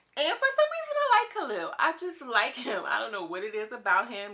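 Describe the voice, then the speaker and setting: Against noticeable background noise, a woman talks at a fairly quick pace in an animated tone with lively intonation. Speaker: YouTube TV commentator. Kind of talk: casual reality show commentary. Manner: fast.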